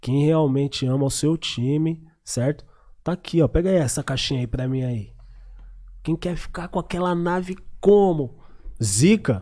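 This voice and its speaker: A man with a fairly high pitch and a dark, mellow tone speaks at a fairly slow pace, leaving long, frequent pauses. The recording is very clean, with a silent background. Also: lively intonation. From Zona Sul, São Paulo. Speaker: podcast host. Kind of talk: casual podcast chat.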